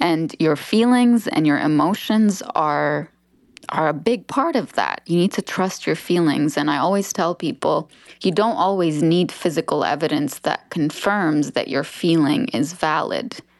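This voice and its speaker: With an unremarkable speaking voice, a woman talks at a fairly slow pace and fairly low pitch, her intonation lively and her loudness very even against a quiet background. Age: 30s. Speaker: author and speaker. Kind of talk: casual chat.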